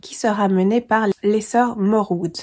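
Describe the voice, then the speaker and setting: A woman's dark, mellow tone at medium pitch, fairly slow and with fairly even intonation, on a very clean recording with a silent background. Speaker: booktuber. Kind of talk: casual book review vlog. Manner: hesitant, many filler sounds.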